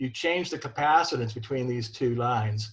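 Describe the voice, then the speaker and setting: A somewhat breathy man's voice at a medium pitch. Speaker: ham radio antenna builder. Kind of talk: technical presentation.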